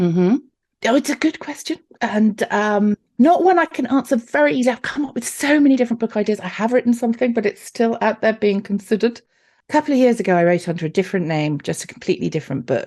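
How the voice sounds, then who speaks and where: Speaking at a very fast pace, a woman uses a fairly high pitch with very wide pitch swings. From southern England, Newbury, Berkshire. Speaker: romance novelist. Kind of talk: interview.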